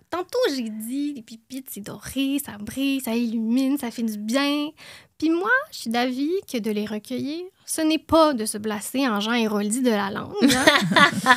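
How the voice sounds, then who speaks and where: A woman with a high pitch, ordinary pitch variation and a fairly slow pace. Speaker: podcast co-host, columnist. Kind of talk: podcast chat with prepared column.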